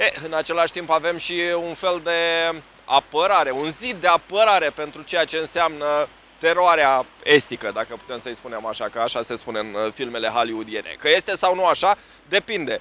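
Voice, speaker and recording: A man's fairly high, lively voice at a moderate pace, dry with no echo, over light background noise. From Romania. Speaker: street interview show host. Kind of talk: presenter talk to camera. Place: street. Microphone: handheld.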